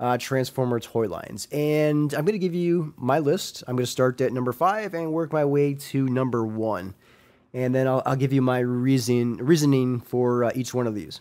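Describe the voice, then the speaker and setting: A man speaks at a moderate pace with a medium pitch. His tone is dark and mellow, with ordinary pitch variation. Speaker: podcast host. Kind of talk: casual podcast monologue. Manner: hesitant with fillers.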